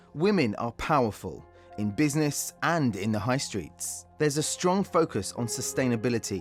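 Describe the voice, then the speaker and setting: A man speaks with very wide pitch swings over music in the background. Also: medium pitch for a man, moderate pace. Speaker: voice-over artist. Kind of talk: corporate narration.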